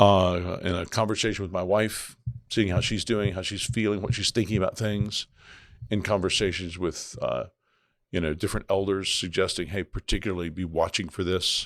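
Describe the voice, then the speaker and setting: A man with an American accent speaks at a moderate pace in a normal speaking voice, his pitch fairly low. His intonation stays fairly even, and the recording is very clean with a silent background. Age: 60s. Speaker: senior pastor. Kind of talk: casual chat.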